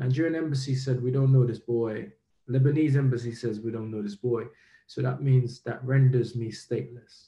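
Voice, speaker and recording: At a moderate pace, a man talks in a medium pitch with a dark, mellow tone that is somewhat breathy. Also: fairly even intonation. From Nigeria. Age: 30s. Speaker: professional boxer. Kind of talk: interview.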